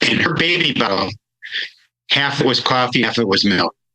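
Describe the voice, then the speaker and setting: This is a man with a medium-pitched voice. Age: 60s. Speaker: wellness coach. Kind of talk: podcast interview. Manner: halting.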